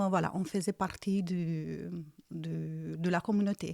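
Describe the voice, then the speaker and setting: Speaking very slowly with a slight Romanian accent, a woman has a dark, mellow tone, recorded very cleanly with a silent background and a dry, close sound free of echo. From Romania, Iași region (north-east). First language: Romanian (speaking French). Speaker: churchgoer giving life testimony. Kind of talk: testimony interview. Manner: hesitant, many fillers.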